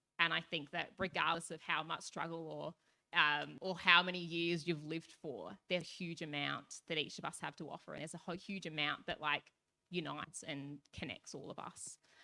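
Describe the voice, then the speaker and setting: Talking at a moderate pace with hardly any pauses, a woman with an Australian accent has a fairly low pitch, vocal fry, a bright, sharp tone, fairly even intonation and big swings in loudness. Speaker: youth panelist. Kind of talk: panel discussion. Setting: stage with audience.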